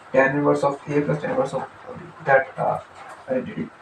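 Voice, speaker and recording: Fairly high male voice against noticeable background noise. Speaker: math teacher. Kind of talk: tutorial. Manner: hesitant, many fillers; fast.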